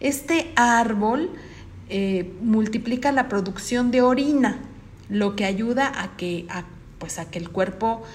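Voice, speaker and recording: The room echo is audible around this woman's voice. She speaks fairly high, with ordinary pitch variation. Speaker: radio news host. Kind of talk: radio interview and news.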